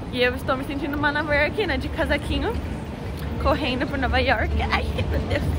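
A woman talks at a fairly quick pace, the sound dry with no echo. Crowd noise fills the background. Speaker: travel vlogger. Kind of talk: casual vlog chat. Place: street. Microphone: phone near.

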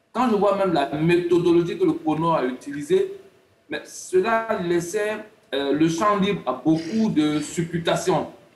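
With audible room echo, a man talks at a fairly slow pace. His pitch is high, with ordinary variation. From Côte d'Ivoire. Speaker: sports analyst. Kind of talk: TV panel debate. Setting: remote video link. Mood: earnest, explanatory. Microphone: video call.

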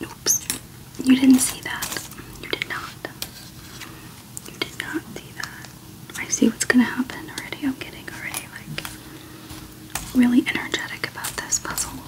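The speaker whispers with long, frequent pauses. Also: moderate pace. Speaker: ASMR creator. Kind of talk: ASMR jigsaw puzzle session. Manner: whispered, soft-spoken.

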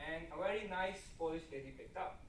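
A man talks at a fairly quick pace, his pitch fairly high. Room echo is audible. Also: ordinary pitch variation.

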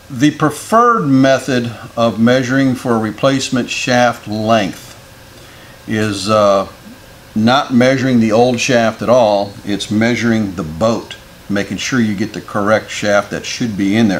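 A man speaks at a fairly slow pace with audible room echo. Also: fairly low pitch for a man, ordinary pitch variation.

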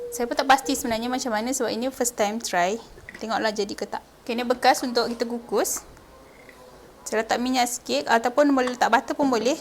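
A high-pitched woman at a very fast pace with ordinary pitch variation, over noticeable background noise. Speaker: cooking video host. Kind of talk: cooking tutorial. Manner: casual.

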